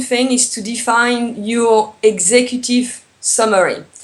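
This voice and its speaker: With a French accent, a woman speaks at a very slow pace and a fairly high pitch. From France. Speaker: tourism business consultant. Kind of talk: interview. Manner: hesitant, many fillers.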